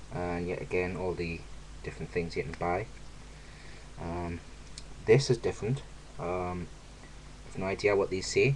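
Over light background noise, a man with a British accent speaks at a moderate pace with very deep, low pitch, a somewhat breathy voice, ordinary pitch variation and long, frequent pauses. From UK. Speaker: YouTuber. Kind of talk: unboxing video. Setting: home video recording. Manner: animated. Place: home room. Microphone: webcam.

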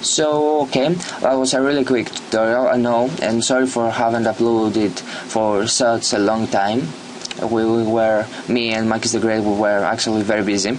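Over noticeable background noise, a man with a non-native accent speaks at a moderate pace and medium pitch, with fairly even intonation and very even loudness. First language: not English. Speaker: YouTuber making software tutorials. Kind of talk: screen-recorded software tutorial. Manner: halting, many fillers.

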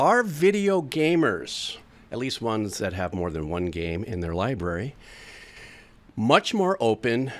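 The man speaks at a moderate pace. His pitch swings very widely. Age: 60s. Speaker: music reaction streamer; music reaction youtuber. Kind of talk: casual monologue to camera; casual vlog chat. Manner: rambling, stream of consciousness. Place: home room. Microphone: studio mic.

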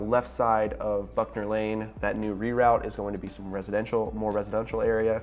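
There is faint music in the background. Over it, a man talks at a fairly quick pace. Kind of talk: explainer vlog commentary. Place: office. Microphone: lapel.

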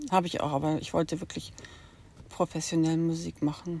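Intonation stays flat and monotone. The tone is dark and mellow. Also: woman. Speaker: vlogger. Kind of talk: personal monologue. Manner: halting.

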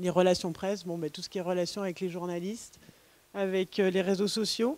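A woman at a moderate pace in a dry sound with no echo. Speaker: events agency co-founder. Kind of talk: conference talk. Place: classroom. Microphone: handheld.

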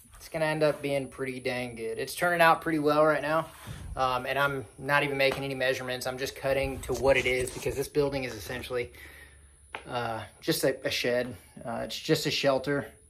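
Fairly even intonation runs through the man's fairly quick speech. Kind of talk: casual vlog chat. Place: farm machine. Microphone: phone near.

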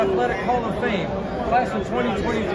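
Crowd noise fills the background. A man is speaking. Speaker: writer interviewing an inductee. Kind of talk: interview intro and questions. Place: hall. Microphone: phone near.

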